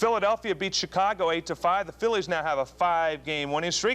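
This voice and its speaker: Lively in his intonation, a man speaks at a high pitch. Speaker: TV sportscaster. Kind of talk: local TV sports news report.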